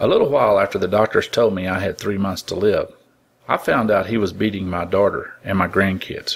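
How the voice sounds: In a natural reading voice, the intonation stays fairly even.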